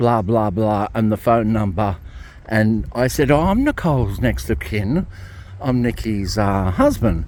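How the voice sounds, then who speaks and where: A man in an Australian accent talks at a fairly slow pace, his fairly low voice carrying lively intonation at very even loudness. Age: 60s. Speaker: ex-Jehovah's Witness vlogger. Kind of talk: casual vlog monologue. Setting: outdoors, walking in a cemetery. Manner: rambling, repetitive with many fillers.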